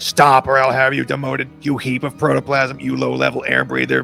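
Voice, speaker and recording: A man's squeaky, put-on character voice over clear background music. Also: fairly quick pace. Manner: threatening.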